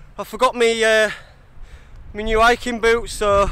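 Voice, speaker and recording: In a raised, projected voice, a man speaks at a very slow pace, with a dry sound and no echo. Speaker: solo hiker vlogger. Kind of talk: casual vlog chat. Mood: cheerful, joking. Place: open country. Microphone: phone near.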